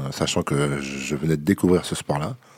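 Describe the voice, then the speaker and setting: A man is speaking. His pace is moderate. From France, Vendée. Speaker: MMA fighter. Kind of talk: interview.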